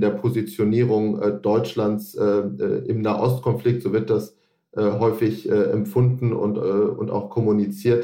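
The voice is somewhat breathy. It moves at a very slow pace. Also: man. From half Lebanese, German. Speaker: foundation regional expert. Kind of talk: interview. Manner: halting, many fillers.

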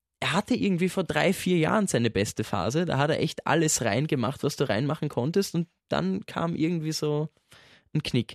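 A man's fairly high voice, with vocal fry and lively intonation, comes through dry and close with no echo against a quiet background. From Austria. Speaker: radio listener service staff, football fan. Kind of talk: casual chat.

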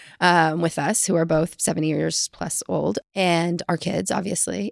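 Fairly low in pitch with vocal fry, a woman speaks at a fairly slow pace with ordinary pitch variation. The recording is very clean and dry, close with no echo, over a silent background. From US South, small-town Texas. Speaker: chief marketing officer. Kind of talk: interview.

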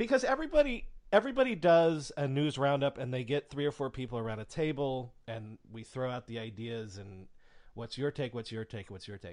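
An ordinary speaking voice moves at a fairly quick pace with big swings in loudness. Pitch variation is ordinary, over a quiet background. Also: man, medium pitch for a man. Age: 30s. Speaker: podcast host. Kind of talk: interview.

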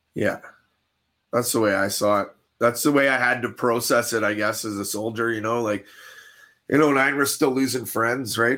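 A man with a Canadian accent speaks at a moderate pace with long, frequent pauses. His tone is bright and sharp, his intonation fairly even. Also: medium pitch for a man. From Canada. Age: 40s. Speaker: army veteran. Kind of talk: casual interview.

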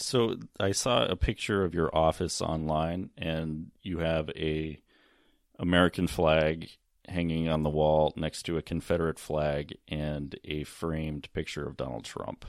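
A man's very deep, low voice at a fairly slow pace, fairly even in intonation, on a very clean recording with a silent background. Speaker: podcast host. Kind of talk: interview, news-style narration. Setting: hotel lobby interview, recorded in the field.

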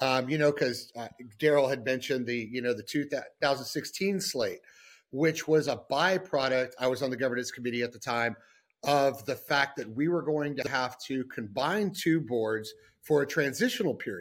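A man's unremarkable speaking voice at a fairly high pitch, with ordinary pitch variation and a moderate pace, in a very clean recording with a silent background. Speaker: business development executive. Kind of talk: panel discussion.

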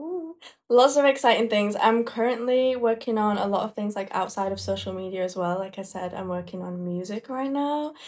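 In a Yorkshire accent, a woman speaks at a fairly quick pace, fairly high in pitch, with lively intonation. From northern England (Leeds, Yorkshire). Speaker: makeup artist and social media creator. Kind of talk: casual chat.

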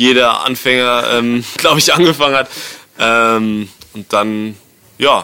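A man talks very slowly, stopping often for long stretches, while background noise is clearly heard. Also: medium pitch for a man, fairly even intonation. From Bavaria, rural area near Erding. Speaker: DJ and music producer. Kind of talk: casual interview. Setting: hotel lobby.

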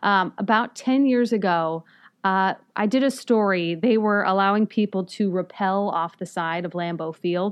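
A woman at medium pitch speaks at a moderate pace with ordinary pitch variation, in an ordinary speaking voice. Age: 30s. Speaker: investigative TV reporter. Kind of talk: casual chat. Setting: studio.

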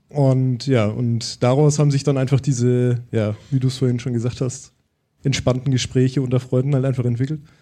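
The intonation is monotone and flat. Its tone is dark and mellow. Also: man, medium pitch for a man, moderate pace. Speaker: podcaster. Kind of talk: live podcast conversation. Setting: stage with audience.

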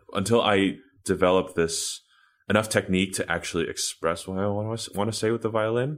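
With an American accent, a man talks at a fairly quick pace using fairly even intonation. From New York City (Washington Heights). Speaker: violinist, orchestra concertmaster. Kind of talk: interview. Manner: halting, many repetitions and fillers.

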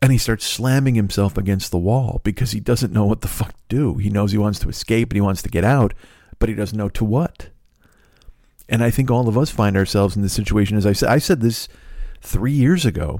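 Here a man speaks at a fairly quick pace in a fairly low pitch. His tone is dark and mellow, with ordinary pitch variation. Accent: Chicago. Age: 50s. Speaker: podcast host. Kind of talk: casual chat.

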